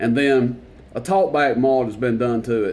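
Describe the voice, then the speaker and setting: A man with a Tennessee accent talks at a moderate pace, with audible room echo. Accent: Southern US (Tennessee). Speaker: CB radio reviewer. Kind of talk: product demonstration tutorial. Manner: casual, filler-heavy.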